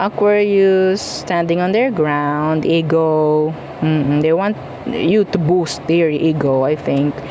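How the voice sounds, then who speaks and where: Over noticeable background noise, a woman talks at a very slow pace with lively intonation. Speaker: tarot reader. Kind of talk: tarot reading, casual monologue. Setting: at home, noise outside earlier. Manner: casual, chatty; softer now, was loud earlier.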